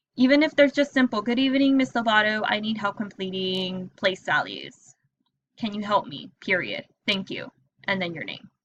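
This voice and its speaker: This woman has an unremarkable speaking voice, fairly high in pitch. She talks at a moderate pace with lively intonation and big swings in loudness. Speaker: teacher. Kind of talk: tutorial.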